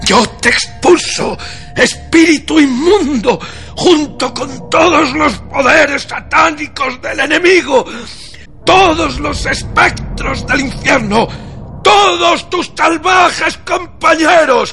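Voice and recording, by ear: A man shouts in a put-on character voice with extremely high pitch and a bright, sharp tone, with vocal fry in it. He goes at a slow pace while faint music plays in the background. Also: ordinary pitch variation.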